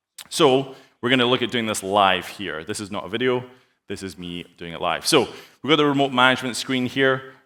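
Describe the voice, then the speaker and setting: In a Scottish accent, a man talks at a fairly quick pace with a bright, sharp tone and ordinary pitch variation, on a very clean recording with a silent background. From Scotland. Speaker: sales engineer. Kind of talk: conference presentation with live demo. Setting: stage with audience. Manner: fast.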